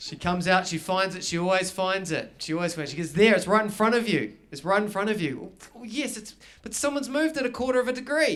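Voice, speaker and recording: A man with a New Zealand accent, high pitch, lively intonation and a very fast pace. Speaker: stand-up comedian. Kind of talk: live stand-up comedy performance.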